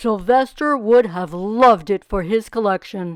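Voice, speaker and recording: Over a quiet background, a woman puts on a character voice at medium pitch and a moderate pace. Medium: read story. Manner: gentle, warm.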